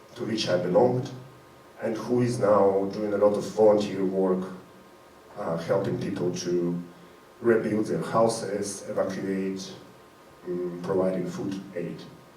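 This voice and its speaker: Amid noticeable background noise and audible room echo, a man speaks at a fairly slow pace and a fairly low pitch, with fairly even intonation and long, frequent pauses. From Ukraine, Crimea. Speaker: performance artist. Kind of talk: live event speech to audience. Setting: stage with audience.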